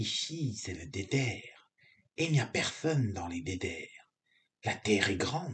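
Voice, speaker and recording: A man puts on a character voice, speaking at a fairly slow pace with a medium pitch. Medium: read story. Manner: calm, enigmatic.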